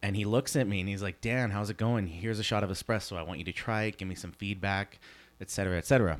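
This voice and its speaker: An ordinary speaking voice from a man with a Canadian accent, fairly low in pitch, at a fairly quick pace with ordinary pitch variation. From Canada, Edmonton. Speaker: coffee roastery wholesale manager. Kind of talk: podcast interview.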